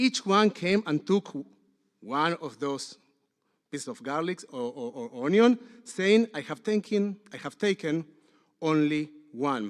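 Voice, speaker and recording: The voice has a non-native accent and very wide pitch swings at a fairly slow pace. The sound is dry and close, with no echo. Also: man. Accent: noticeable foreign. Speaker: rabbi. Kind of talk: sermon.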